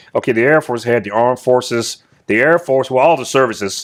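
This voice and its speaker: A plain, everyday voice from a man with an American accent, medium in pitch, at a fairly quick pace against a quiet background. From US South. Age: 60s. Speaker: retired military officer. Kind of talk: interview.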